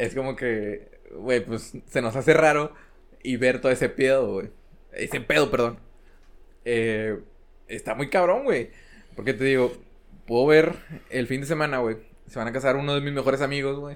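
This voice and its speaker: On a very clean recording with a silent background, a man with a Mexican accent talks at medium pitch with long, frequent pauses. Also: ordinary pitch variation, moderate pace. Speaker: podcast co-host. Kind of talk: casual chat.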